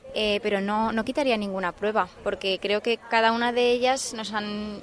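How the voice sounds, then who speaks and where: Amid noticeable background noise, a woman talks at a fairly quick pace with a fairly high pitch and fairly even intonation. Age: 20s. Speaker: festival queen candidate. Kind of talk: interview. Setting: outdoors in gardens.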